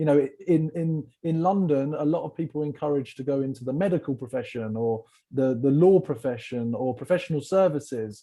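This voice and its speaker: A man with an English accent, fairly high pitch, a dark, mellow tone, ordinary pitch variation, a fairly quick pace with hardly any pauses, and a quiet background. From England. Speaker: sales community founder. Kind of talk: podcast interview. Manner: energetic.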